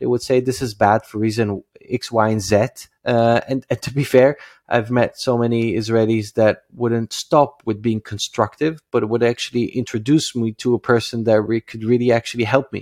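A man with a Dutch accent speaks at medium pitch and a moderate pace. The recording is very clean with a silent background, the sound dry and close with no echo. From Netherlands, Amsterdam. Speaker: startup founder and CEO. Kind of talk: interview. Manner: halting, many filler sounds.

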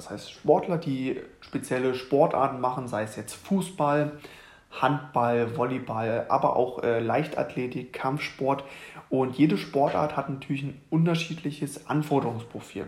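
Somewhat breathy, a man with a fairly high pitch speaks fairly slowly with ordinary pitch variation. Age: 20s. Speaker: fitness coach and podcast host. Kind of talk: solo podcast monologue. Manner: casual with many fillers.

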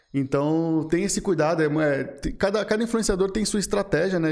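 This man has a plain, everyday voice. He speaks at a moderate pace with ordinary pitch variation. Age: 20s. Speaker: marketing agency founder. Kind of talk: podcast interview.

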